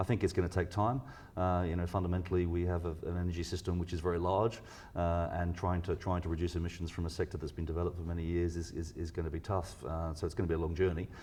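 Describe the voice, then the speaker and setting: With a British accent and a dark, mellow tone, the speaker rushes along at a very fast pace in a flat monotone. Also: man, very deep, low pitch for a man. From UK. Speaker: research scientist. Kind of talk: interview. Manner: halting, many fillers and repeats.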